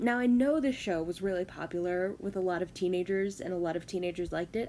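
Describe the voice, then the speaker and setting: A woman's voice with a dark, mellow tone. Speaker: media reviewer. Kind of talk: casual talk to camera. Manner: fast.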